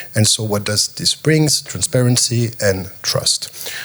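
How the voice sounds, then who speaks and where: Over noticeable background noise, a man with a French accent talks at a medium pitch with ordinary pitch variation. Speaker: panelist, tokenization company representative. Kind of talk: panel discussion.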